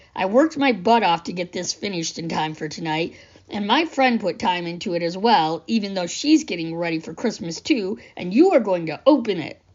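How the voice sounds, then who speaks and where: Putting on a raspy character voice, a woman of medium pitch speaks at a fairly quick pace in a serious tone with very wide pitch swings. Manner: serious, firm.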